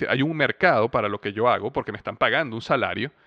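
A man speaks at a fairly quick pace with lively intonation, in a normal speaking voice. The sound is dry and close with no echo, over a quiet background. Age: 30s. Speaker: podcast host and business coach. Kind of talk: motivational monologue. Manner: conversational with filler words.

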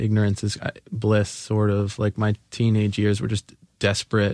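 This is a man with an ordinary speaking voice, fairly low in pitch and fairly slow in pace. The sound is dry and close with no echo, in a very clean recording with a silent background. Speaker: musician and bandmate. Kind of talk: casual interview chat.

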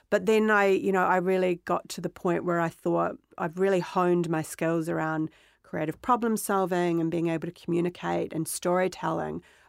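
A woman speaks with a New Zealand accent at a fairly low pitch. The recording is very clean, with a silent background. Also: fairly even intonation, moderate pace. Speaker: podcast co-host and company founder. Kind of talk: interview answers.

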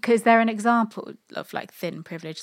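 With a British accent, a woman speaks with fairly even intonation. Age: 20s. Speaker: podcast co-host. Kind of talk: casual chat.

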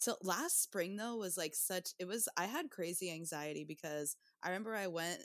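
A woman with a normal speaking voice and an American accent speaks at a fairly low pitch with ordinary pitch variation. The recording is very clean, with a silent background and a dry, close sound with no echo. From Tulsa, Oklahoma. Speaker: comedian. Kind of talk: casual chat. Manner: fast.

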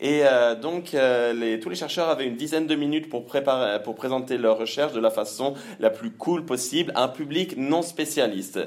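At a moderate pace, a man uses an ordinary speaking voice with ordinary pitch variation. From Normandy, France. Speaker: sport psychology researcher. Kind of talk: interview.

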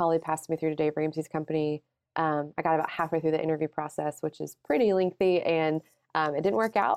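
Very fast speech with a Southern US accent, dry and close with no echo. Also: woman, very deep, low pitch for a woman. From Alabama. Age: 30s. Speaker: recruiter and blogger. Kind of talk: podcast interview.

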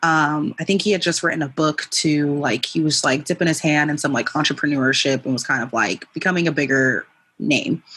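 A woman's very deep, low-pitched voice with a bright, sharp tone, ordinary pitch variation and a moderate pace. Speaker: podcast co-host. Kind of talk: casual chat.

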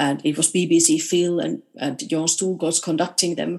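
The speaker has a Finnish accent. The pace is fairly slow. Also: woman. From Finnish Lapland, Rovaniemi. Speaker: composer. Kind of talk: interview.

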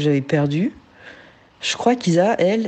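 Lively intonation runs through this woman's speech. She talks fairly slowly. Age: 40s. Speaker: adoptee sharing life story. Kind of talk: testimony. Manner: halting.

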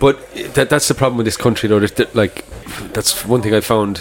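A man talks at a very fast pace with ordinary pitch variation. Noticeable background noise can be heard. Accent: Irish. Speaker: podcast co-host. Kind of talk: casual chat. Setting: pub.

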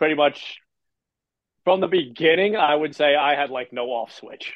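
Speaking at a fairly slow pace, a man uses a fairly high pitch with ordinary pitch variation. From New Jersey. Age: 50s. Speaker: recovering alcoholic. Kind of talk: interview. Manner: animated.

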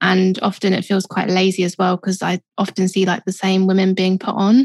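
With a South London accent, a woman speaks at a medium pitch and moderate pace in a monotone, flat voice, in a dry, close recording with no echo over a quiet background. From South East London. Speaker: photographer. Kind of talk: interview conversation.

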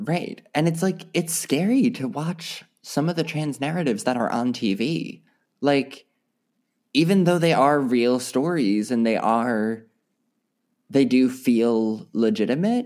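A man with an unremarkable speaking voice, fairly high pitch, lively intonation and an American accent. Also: fairly slow pace. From US East Coast. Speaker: actor, singer and comedian. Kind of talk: casual interview. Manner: laughs often.

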